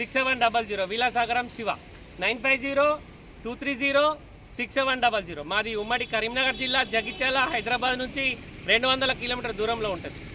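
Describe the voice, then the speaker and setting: In a Telangana accent, a man speaks in a raised, projected voice at an extremely high pitch with fairly even intonation over light background noise. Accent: Telangana Telugu. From Telangana, Jagtial (Karimnagar district). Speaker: used car dealer; used car seller. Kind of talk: sales pitch. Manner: casual. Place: street. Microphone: phone near.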